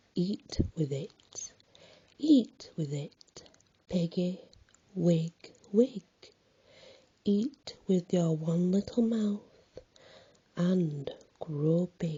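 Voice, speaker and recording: Soft-spoken and high-pitched, a man talks at a very slow pace with ordinary pitch variation and long, frequent pauses. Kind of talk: poetry reading.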